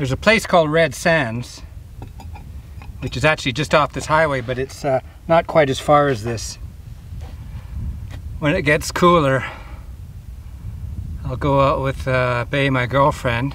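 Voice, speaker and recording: A fairly high-pitched man speaks at a fairly slow pace with ordinary pitch variation and long, frequent pauses. Noticeable background noise runs underneath. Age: 50s. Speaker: outdoor vlogger. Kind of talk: casual vlog narration. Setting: outdoors. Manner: halting.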